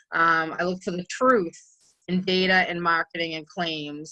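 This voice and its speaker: A woman with a New England accent, fairly low in pitch, bright and sharp in tone, at a moderate pace. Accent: New England (Boston-type). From New England, Massachusetts. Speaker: microbiologist and cleaning consultant. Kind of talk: webinar presentation. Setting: virtual conference session. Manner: casual, many filler ums.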